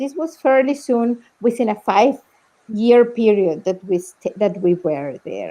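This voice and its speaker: Very slowly, a woman with a Spanish accent speaks in a dark, mellow tone at a fairly high pitch. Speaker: documentary film director. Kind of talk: live Q&A panel talk. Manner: halting, many repetitions.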